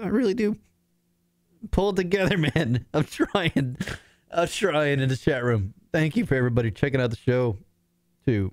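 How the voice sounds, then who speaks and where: Pausing long and often, a man talks at a moderate pace in a fairly high pitch, with very wide pitch swings and very even loudness. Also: dry, close sound with no echo. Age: 40s. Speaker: internet radio host. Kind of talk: casual live show talk. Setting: home apartment. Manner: halting, stammering.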